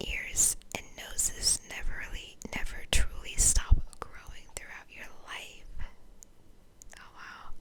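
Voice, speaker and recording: A whisper at a very slow pace, with noticeable background noise. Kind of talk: whispered ASMR fun-facts narration over gameplay. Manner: whispered, soft.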